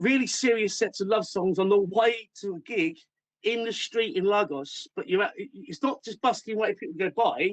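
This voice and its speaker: With an English accent, a man talks at a high pitch with lively intonation, the sound dry and close with no echo. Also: moderate pace. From England. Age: 50s. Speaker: musician. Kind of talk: interview. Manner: halting, many false starts.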